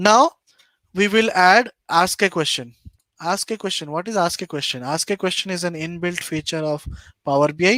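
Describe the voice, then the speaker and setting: A man with an Indian accent speaks at a moderate pace in a high pitch with ordinary variation and a bright, sharp tone. The recording is very clean with a silent background and a dry, close sound with no echo. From East India. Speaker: data analytics YouTuber. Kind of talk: live-streamed tutorial. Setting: live stream screen share.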